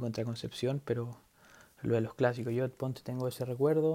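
A man speaks with a medium pitch and a dark, mellow tone. His pace is fairly quick. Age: 20s. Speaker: podcast host. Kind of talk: solo sports podcast monologue. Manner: halting, with many repetitions.

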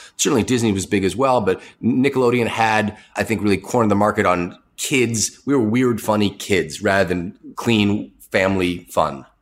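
With an American accent, a man speaks in a fairly low voice at a moderate pace, with very even loudness and ordinary pitch variation. The recording is very clean, with a silent background. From New England, Boston area. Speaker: media company co-founder. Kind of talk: interview. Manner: halting, many fillers.

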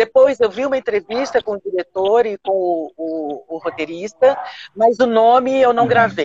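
A woman's fairly high voice in a Minas Gerais accent, at a moderate pace with very wide pitch swings. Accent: Mineiro Brazilian Portuguese. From Belo Horizonte, Minas Gerais, Brazil. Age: 60s. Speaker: stage and film actress. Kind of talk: interview on a live stream.

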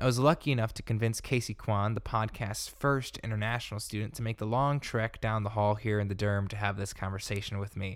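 A man talks fairly quickly in a normal speaking voice, fairly low in pitch with fairly even intonation. The recording is very clean, with a silent background. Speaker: student podcast host. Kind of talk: scripted intro; casual chat. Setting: dorm room.

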